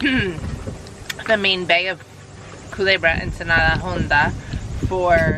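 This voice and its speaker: The sound is dry, with no echo. A woman speaks against noticeable background noise. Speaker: sailing vlogger. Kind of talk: casual vlog chat. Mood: happy, relaxed. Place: boat. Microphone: phone near.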